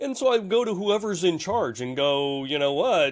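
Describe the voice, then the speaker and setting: A man's voice makes very wide pitch swings. The recording is very clean, with a silent background. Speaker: cybersecurity expert. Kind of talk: interview. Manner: animated.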